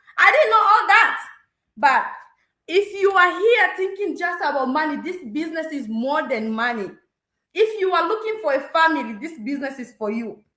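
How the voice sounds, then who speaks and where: At a moderate pace, a woman uses a raised, projected voice of extremely high pitch and a bright, sharp tone, with very wide pitch swings, big swings in loudness and audible room echo. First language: not English. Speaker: business testimonial speaker. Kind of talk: testimony.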